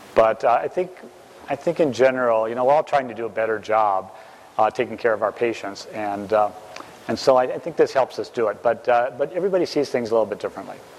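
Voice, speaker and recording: Speech comes at a very fast pace with ordinary pitch variation. Background noise is noticeable. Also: man, medium pitch for a man. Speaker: dermatologist lecturer. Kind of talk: lecture. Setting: stage with audience. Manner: halting.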